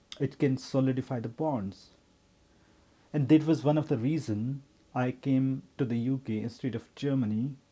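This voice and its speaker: Speaking at a moderate pace with a non-native accent, a man uses a dark, mellow tone at medium pitch with fairly even intonation. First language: not English. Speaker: vlogger, working professional. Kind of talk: personal vlog monologue. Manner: halting, with self-corrections.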